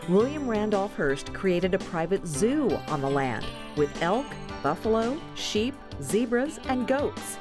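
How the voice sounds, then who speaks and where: A woman with a medium pitch and very wide pitch swings speaks at a fairly slow pace and very even loudness, with music in the background. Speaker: documentary narrator for a TV farm magazine show. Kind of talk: TV documentary narration.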